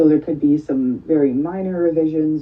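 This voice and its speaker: A woman speaks with fairly even intonation. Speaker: funding program officer. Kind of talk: online presentation / training session. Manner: fast.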